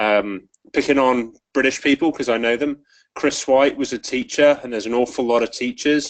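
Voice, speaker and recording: A medium-pitched man with an English accent, fairly even intonation and a moderate pace. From England. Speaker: rugby referee. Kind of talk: webinar presentation. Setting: online webinar call.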